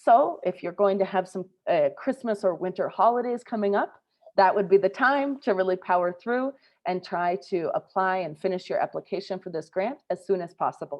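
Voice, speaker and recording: A woman with an American accent, a plain, everyday voice, medium pitch, ordinary pitch variation and a moderate pace. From US Midwest, Minnesota. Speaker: scholarship program advisor. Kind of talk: informational webinar presentation.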